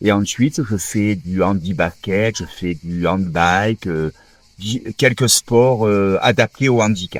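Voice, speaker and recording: With a fairly low pitch and ordinary pitch variation, a man speaks at a very slow pace in a dry, close sound with no echo. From southern France, Toulon area. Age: 60s. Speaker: former rugby player, wheelchair user. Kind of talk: interview testimony. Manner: hesitant, many fillers.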